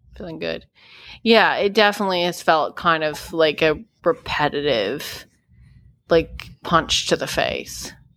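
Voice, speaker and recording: A woman's fairly low, fry-tinged voice, fairly slow and lively in intonation, with big swings in loudness, on a very clean recording with a silent background. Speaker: podcast host. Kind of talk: casual chat.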